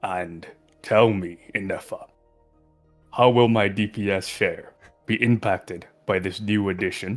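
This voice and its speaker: Over faint background music, a man uses a put-on character voice, fairly low-pitched, with fairly even intonation. He speaks at a fairly slow pace with long, frequent pauses. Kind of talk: formal, refined. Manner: haughty.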